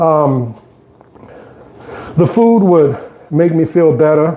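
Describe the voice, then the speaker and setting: A man with a New Orleans accent speaks very slowly at a fairly high pitch with ordinary pitch variation. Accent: New Orleans Southern US. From US South, New Orleans. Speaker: fitness vlogger. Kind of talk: casual live stream chat while exercising. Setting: on an exercise bike at home.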